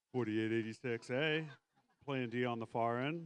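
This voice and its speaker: A man's voice at a medium pitch. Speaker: robotics event announcer. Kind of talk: live commentary. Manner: fast.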